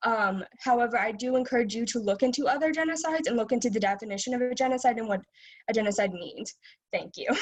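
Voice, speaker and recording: The speech moves at a very fast pace. Pitch variation is ordinary. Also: woman, high pitch for a woman. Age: 20s. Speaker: public commenter, student. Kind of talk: public comment at meeting. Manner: halting, many fillers.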